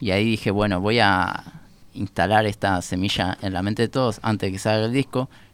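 A man's fairly low, fairly quick voice in a Rioplatense accent, with fairly even intonation. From Uruguay, Montevideo. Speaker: musician. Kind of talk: casual chat.

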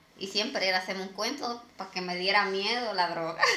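Speaking fairly quickly, a woman is heard over noticeable background noise. The room adds an audible echo. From Dominican Republic. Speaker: podcast co-host. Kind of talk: casual chat.

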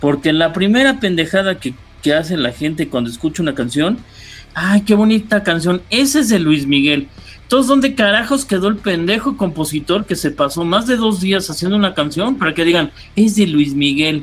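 Over music in the background, a man talks at a moderate pace in a high pitch with very wide pitch swings. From Mexico City (Coyoacán). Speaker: radio producer and announcer. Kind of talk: casual chat. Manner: halting, repeats words.

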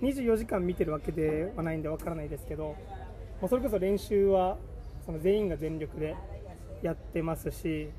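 A high-pitched man at a moderate pace, with noticeable background noise and audible room echo. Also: ordinary pitch variation. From Okinawa, Japan. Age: 20s. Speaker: football coach. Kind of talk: casual interview.

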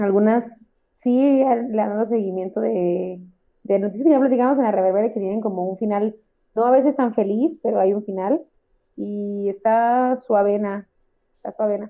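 A woman with a plain, everyday voice, fairly high pitch, ordinary pitch variation and a moderate pace. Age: 30s. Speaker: podcast co-host. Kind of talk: casual chat.

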